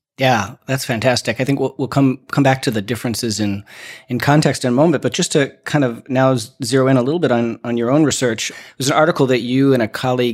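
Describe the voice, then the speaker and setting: A man with an American accent at a fairly quick pace and fairly even intonation, in a very clean recording with a silent background. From United States. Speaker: podcast interviewer, educational leader. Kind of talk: interview.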